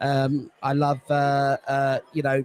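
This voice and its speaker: Pitched fairly high, a man talks with a British accent. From England, London. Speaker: sports fan. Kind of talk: casual interview.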